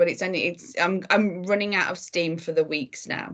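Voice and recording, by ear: A put-on character voice, hoarse and at a moderate pace, keeps its intonation fairly even. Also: woman, fairly low pitch for a woman.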